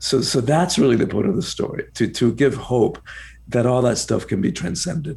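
Here is a man with a medium pitch, a dark, mellow tone and some vocal fry. He speaks at a moderate pace with lively intonation. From Cuba, then rural Georgia US. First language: Spanish. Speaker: author and personal empowerment coach. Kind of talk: interview. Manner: repetitive restarts.

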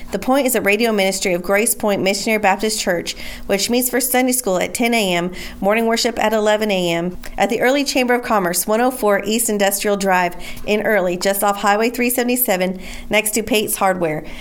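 Over noticeable background noise, a woman speaks at a moderate pace in a medium pitch, with fairly even intonation and very even loudness. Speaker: radio announcer. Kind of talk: scripted announcement. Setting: radio broadcast.

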